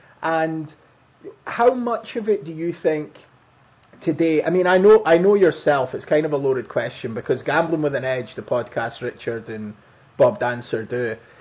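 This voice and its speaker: A man in a Scottish accent talks at a fairly high pitch, his voice making very wide pitch swings. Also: moderate pace. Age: 30s. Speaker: podcast host. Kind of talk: interview. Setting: remote call.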